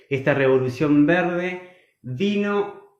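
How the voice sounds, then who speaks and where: At a very slow pace, a man speaks with ordinary pitch variation amid audible room echo. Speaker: agronomist and food producer. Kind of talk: online talk.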